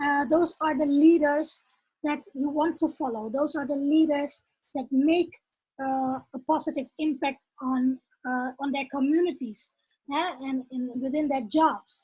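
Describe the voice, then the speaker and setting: The voice carries a Dutch accent and a dark, mellow tone. It moves at a fairly slow pace with fairly even intonation. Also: woman, high pitch for a woman. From Netherlands. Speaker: author and leadership coach. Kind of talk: casual talk to camera. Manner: halting, many fillers.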